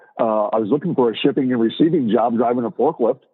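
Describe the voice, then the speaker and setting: A man is speaking. His intonation is lively. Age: 60s. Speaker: long-haul truck driver, former Marine. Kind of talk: casual interview. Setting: podcast recording. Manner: halting with many fillers.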